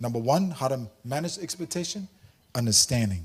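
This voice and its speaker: Somewhat breathy, a man with a Samoan accent speaks with lively intonation. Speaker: workshop presenter. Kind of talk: workshop talk. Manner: animated.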